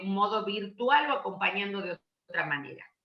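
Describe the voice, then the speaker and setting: This is a normal speaking voice with ordinary pitch variation at a moderate pace. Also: woman. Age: 60s. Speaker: education law speaker. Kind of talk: Q&A session.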